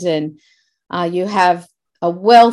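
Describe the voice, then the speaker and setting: A woman speaks very slowly with an Australian accent. Her pitch sits fairly low. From Australia (Sydney area). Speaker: podcast host. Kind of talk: casual faith-based interview. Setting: video call. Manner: animated.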